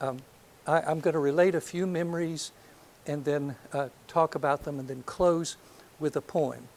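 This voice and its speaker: Moving at a moderate pace, a man speaks with an American accent. His fairly high voice has fairly even intonation. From US South, north Alabama. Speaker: psychology professor. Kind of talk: lecture. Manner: halting.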